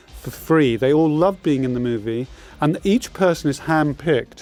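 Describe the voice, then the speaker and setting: A man talks with a London accent at a fairly high pitch. He keeps a moderate pace. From London, England. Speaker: film director. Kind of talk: DVD commentary chat.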